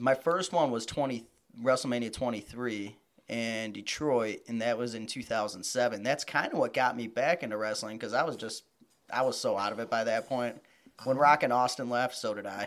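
On a very clean recording with a silent background, a man with a normal speaking voice talks at a moderate pace, his medium pitch showing ordinary pitch variation. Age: 30s. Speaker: wrestling fan. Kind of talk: casual chat.

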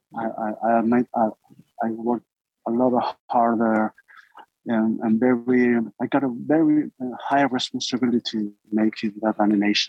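Pausing long and often, a man talks at a medium pitch with fairly even intonation and very even loudness. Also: moderate pace. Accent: Spanish. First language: Spanish. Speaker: filmmaker and animator. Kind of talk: interview. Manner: halting.

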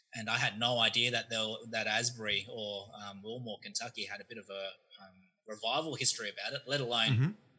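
In an Australian accent, a man with a bright, sharp tone and medium pitch talks at a very fast pace with fairly even intonation and big swings in loudness. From Australia (Melbourne). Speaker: seminary student. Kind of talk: casual chat.

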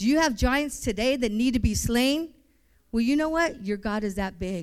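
Her fairly high pitch and lively intonation come through on a very clean recording with a silent background. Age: 50s. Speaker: missionary. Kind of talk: sermon. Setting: church.

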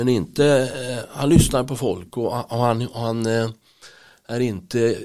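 Speaking fairly slowly, a man has a medium pitch and a dark, mellow tone. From Stockholm, Sweden (Bromma). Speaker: teaching assistant and church member. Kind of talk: interview. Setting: studio.

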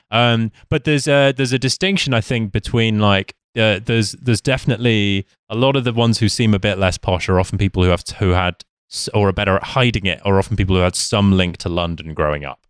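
With a British accent, a man talks very fast in a fairly low voice, recorded dry and close with no echo. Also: ordinary pitch variation, hardly any pauses, very clean recording, silent background. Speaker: podcast guest. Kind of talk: casual chat.

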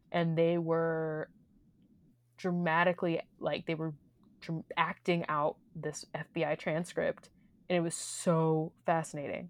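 A woman's fairly low, monotone, flat voice in an American accent, fairly slow with long, frequent pauses, in a dry, close sound with no echo. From Missouri, US Midwest. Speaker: theater podcast co-host. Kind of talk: casual chat.

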